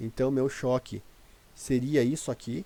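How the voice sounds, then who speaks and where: A man's voice has a dark, mellow tone at a medium pitch. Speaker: day trader. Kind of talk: tutorial. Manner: hesitant, many filler words.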